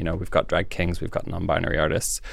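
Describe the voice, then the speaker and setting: A man with a Canadian accent. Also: very clean recording, silent background. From Canada, rural farm area. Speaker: drag performer. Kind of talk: casual chat.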